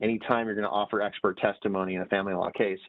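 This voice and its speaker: A man at a fairly low pitch and a very fast pace. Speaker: judge. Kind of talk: lecture.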